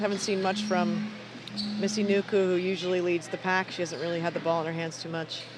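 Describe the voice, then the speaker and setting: At a very fast pace, a man with an American accent talks in a high pitch over noticeable background noise. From United States. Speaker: basketball commentator. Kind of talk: live commentary. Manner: casual, conversational.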